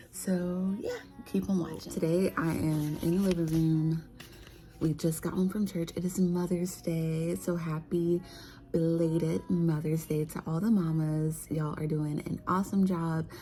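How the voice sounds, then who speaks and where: A woman is whispering. Her voice is somewhat breathy. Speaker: vlogger, stay-at-home mom. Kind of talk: casual vlog chat. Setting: living room at home.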